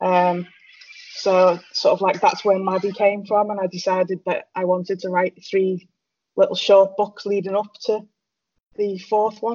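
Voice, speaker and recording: A woman's medium-pitched, fairly slow speech in a monotone, flat intonation. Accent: British. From Britain. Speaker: author. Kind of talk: casual chat. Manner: hesitant, many fillers.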